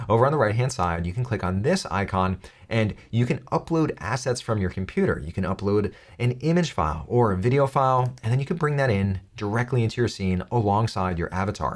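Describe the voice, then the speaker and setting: In an ordinary speaking voice, a man talks at a fairly quick pace and medium pitch with lively intonation, in a very clean recording with a silent background. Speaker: tech tutorial youtuber. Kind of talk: tutorial. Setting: studio.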